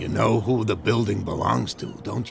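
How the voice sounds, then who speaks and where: Using a put-on character voice, a man speaks at a moderate pace with a raspy, fairly low pitch, over clear background noise. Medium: video game. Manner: gruff, self-assured.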